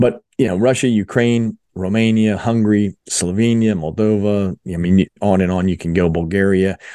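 A man with a normal speaking voice and a fairly low pitch talks at a moderate pace with hardly any pauses over a quiet background. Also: dry, close sound with no echo. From South Jersey (Philadelphia area). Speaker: mission organization fundraising executive. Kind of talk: interview testimony.

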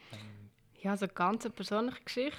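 Speaking in a Bernese accent, a woman has a fairly high pitch. The recording is very clean, with a silent background. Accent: Bernese Swiss German. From Switzerland, Bern. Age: 20s. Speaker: head of a women's rights association. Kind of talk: casual interview. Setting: office, seated at a desk.

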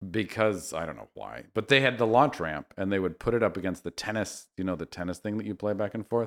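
A man with an American accent speaks very fast in a fairly low pitch with vocal fry, ordinary pitch variation and big swings in loudness. The recording is very clean with a silent background and a dry, close sound with no echo. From Northern California. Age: 40s. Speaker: designer. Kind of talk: casual chat.

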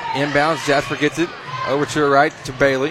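A man talks at a fairly quick pace and fairly high pitch amid noticeable background noise. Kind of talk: live play-by-play sports commentary. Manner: rapid-fire, clipped, staccato player-name calls, pausing to react with excitement.

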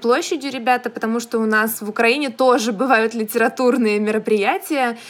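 A high-pitched woman at a moderate pace, with noticeable background noise. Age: young. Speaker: podcast co-host, young writer. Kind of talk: casual chat.

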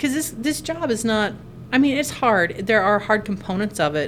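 Lively intonation comes at a fairly quick pace, with noticeable background noise. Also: woman. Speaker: nurse podcast host. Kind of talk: casual chat. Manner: casual, joking.

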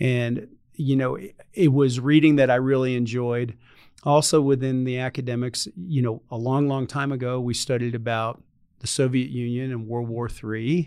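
A man with a plain, everyday voice, medium pitch, fairly even intonation and moderate pace. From North Carolina. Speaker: retired air force general. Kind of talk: interview.

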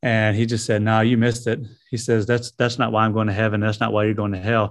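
Over a quiet background, the speaker talks at a very fast pace in a Southern US accent, with monotone, flat intonation. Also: man. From US South, South Carolina (Greenville). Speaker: missionary, former prisoner. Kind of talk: testimony.

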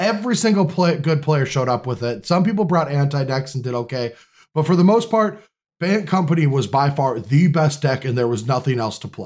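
Recorded very cleanly over a silent background, a man talks at a fairly quick pace. His fairly high, somewhat breathy voice has lively intonation. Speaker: podcast host. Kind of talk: casual chat.

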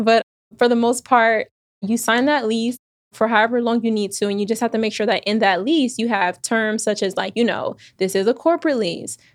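With an American accent, a woman uses an ordinary speaking voice at a fairly high pitch, talking at a fairly quick pace with ordinary pitch variation in a very clean recording with a silent background and a dry, close sound with no echo. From Texas, Houston. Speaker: Airbnb entrepreneur. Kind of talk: interview. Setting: studio, in-person interview.

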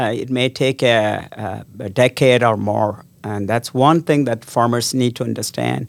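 Here a man speaks fairly slowly at a medium pitch, with fairly even intonation and vocal fry. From South India. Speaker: research scientist. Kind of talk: interview. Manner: halting, many fillers.

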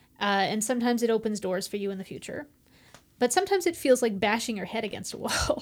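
On a very clean recording with a silent background, a woman with a fairly high pitch uses an ordinary speaking voice and lively intonation. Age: 30s. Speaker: theater artist. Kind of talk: casual chat.

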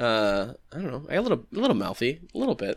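Bright and sharp in tone, a man with an American accent speaks with very wide pitch swings. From Massachusetts. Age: 30s. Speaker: podcast co-host and poet. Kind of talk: casual chat. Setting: video call.

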